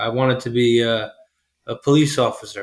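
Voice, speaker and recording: This man has an ordinary speaking voice, set at a medium pitch and delivered at a moderate pace. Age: 20s. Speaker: HVAC installer. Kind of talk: casual interview.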